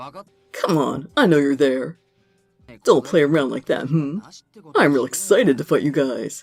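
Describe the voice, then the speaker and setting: Faint music plays behind a put-on character voice. It sits at a low-to-middle pitch and moves at a moderate pace. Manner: taunting, excited for a fight.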